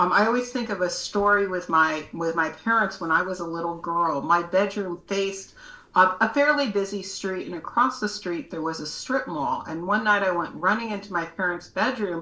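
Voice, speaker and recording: A woman at medium pitch speaks at a moderate pace with ordinary pitch variation and hardly any pauses. Noticeable background noise and audible room echo are present. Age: 60s. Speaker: educator and advocate with low vision. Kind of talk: podcast interview.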